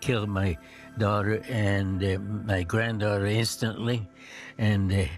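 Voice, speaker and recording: Music plays in the background as a man speaks at a fairly low pitch. His pace is fairly slow and his intonation fairly even. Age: 80s+. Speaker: war veteran. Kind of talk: testimony. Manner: halting.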